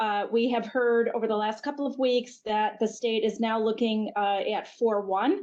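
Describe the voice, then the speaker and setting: A woman speaks at a moderate pace with fairly even intonation in a plain, everyday voice over a quiet background. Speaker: healthcare network executive. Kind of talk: webinar presentation.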